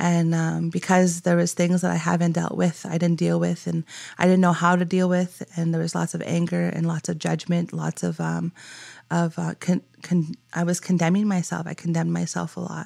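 A woman speaks at a moderate pace in a very clean recording against a silent background. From Canadian inner city, West Broadway area. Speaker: community outreach worker. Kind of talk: testimony.

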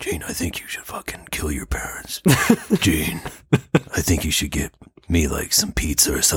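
A man does a put-on character voice, very deep and raspy. He talks at a moderate pace with long, frequent pauses. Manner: creepy, menacing.

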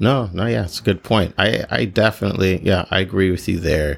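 A man's very deep, low voice with lively intonation and vocal fry. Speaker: podcast host and shuttle company owner. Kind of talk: casual chat.

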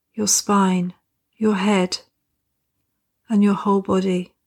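A woman with a calm, soothing tone and medium pitch speaks at a very slow pace with fairly even intonation, recorded very cleanly against a silent background. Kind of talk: guided meditation. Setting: recording. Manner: slow, calm, soothing with gentle pauses; soft-spoken, nurturing and reassuring.

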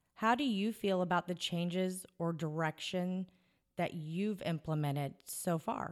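The recording is very clean with a silent background. A woman with a slight Southern US accent speaks fairly slowly at a fairly low pitch, with ordinary pitch variation. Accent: slight Southern US drawl. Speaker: podcast host. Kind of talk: casual interview chat.

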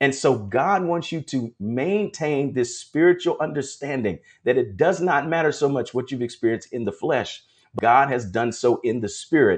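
This man has a fairly high pitch and a normal speaking voice. His intonation is lively and his pace moderate. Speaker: prophetic ministry preacher. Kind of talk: devotional sermon with prayer. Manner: fervent, exhorting, call-and-response.

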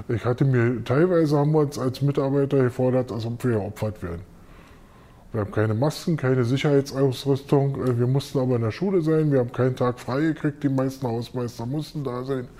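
This man talks at a fairly quick pace in a dark, mellow tone, with medium pitch and ordinary pitch variation. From West Berlin, Neukölln. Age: 50s. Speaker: school caretaker and works council member. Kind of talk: interview. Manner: hesitant, many fillers.

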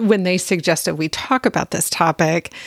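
A woman speaks in an ordinary speaking voice at a medium pitch and a fairly slow pace. Her pitch varies in an ordinary way, and the sound is dry and close with no echo. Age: 50s. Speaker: podcast host. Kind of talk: casual chat.

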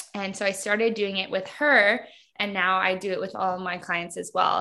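A woman speaks at a moderate pace in a bright, sharp tone against a quiet background. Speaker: hypnotherapist and business designer. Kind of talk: casual interview. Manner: valley girl style speech.

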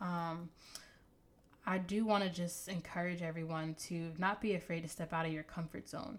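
A woman speaks at a moderate pace in a fairly low pitch, her intonation fairly even. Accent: American. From New Jersey. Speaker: podcast host, fashion blogger. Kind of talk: solo podcast monologue. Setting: home recording, talking to an object.

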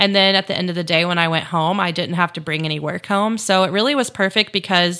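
This woman speaks with an American accent at medium pitch, in a bright, sharp tone. The recording is very clean, with a silent background. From US South, Chattanooga, Tennessee. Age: 30s. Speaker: podcast host, photographer and entrepreneur. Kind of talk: casual solo monologue.

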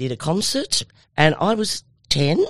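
In an Australian accent, a woman talks at a very slow pace. The background is quiet. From Australia, Tamworth NSW. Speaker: former country music singer, radio presenter. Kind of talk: interview. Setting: studio.

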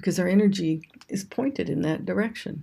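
This woman has a medium pitch and vocal fry. She speaks at a fairly slow pace with ordinary pitch variation. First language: English (speaking Japanese). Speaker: ayurveda and yoga teacher. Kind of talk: scripted talk on yoga philosophy.

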